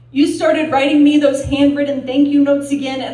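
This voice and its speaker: Noticeable background noise sits behind this recording. A woman talks in a high pitch with fairly even intonation. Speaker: registered nurse. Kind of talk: slam poetry performance.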